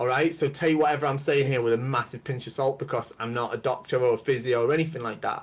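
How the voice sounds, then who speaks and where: A man talks very fast with hardly any pauses, his somewhat breathy voice at a medium pitch with fairly even intonation. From northwest England. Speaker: kendo instructor. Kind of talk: casual interview on livestream. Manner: halting.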